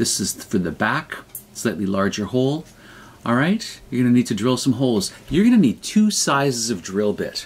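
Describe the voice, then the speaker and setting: Quick-paced and lively in intonation, a man talks fairly fast. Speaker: craft teacher. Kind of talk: tutorial. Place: home room. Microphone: webcam.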